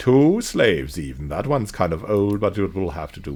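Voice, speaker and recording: Hoarse and fairly low-pitched, a man puts on a character voice at a fairly quick pace, with very wide pitch swings and big swings in loudness. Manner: menacing, sneering.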